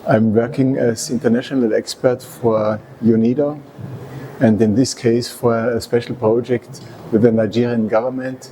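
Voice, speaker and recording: A man with an Austrian accent speaks at medium pitch and a moderate pace. His intonation is monotone and flat, and there is noticeable background noise. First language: German. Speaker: resource efficiency consultant and engineer. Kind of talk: interview. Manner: halting.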